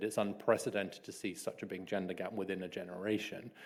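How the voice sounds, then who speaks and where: Talking at a very fast pace with a British accent, a man uses a fairly low pitch and monotone, flat intonation amid audible room echo. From England. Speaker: author and social commentator. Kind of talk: keynote speech. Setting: stage with audience.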